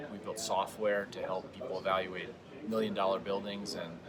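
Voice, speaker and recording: A man talks at a very fast pace in a fairly low pitch. There is noticeable background noise. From New England. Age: 40s. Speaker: tech startup CEO. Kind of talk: interview.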